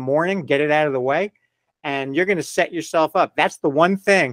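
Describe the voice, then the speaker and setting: At a fairly quick pace comes a plain, everyday voice. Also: man, dry, close sound with no echo. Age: 60s. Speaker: podiatrist. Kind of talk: interview.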